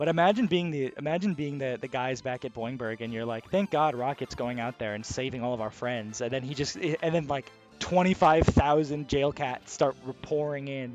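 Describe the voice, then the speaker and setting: A man speaks in a fairly high pitch. Music plays in the background. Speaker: gaming video host. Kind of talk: casual gameplay commentary. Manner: quiet, soft-spoken; calm, relaxed.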